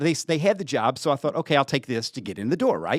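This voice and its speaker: In a Southern accent, a man with a fairly high pitch makes very wide pitch swings, recorded very cleanly against a silent background with a dry, close sound and no echo. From western Kentucky (Paducah). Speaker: TV station general manager. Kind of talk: casual interview chat.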